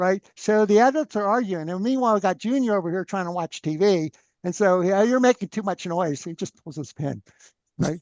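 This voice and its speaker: Loud and at a fairly quick pace, a man speaks at a high pitch with ordinary pitch variation, the sound dry and close with no echo against a quiet background. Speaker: free energy researcher. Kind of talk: interview conversation. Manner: animated.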